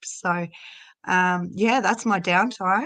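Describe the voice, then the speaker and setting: A woman with an Australian accent speaks at a fairly slow pace over a quiet background. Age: 40s. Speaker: addiction prevention volunteer. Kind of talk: casual live-stream chat.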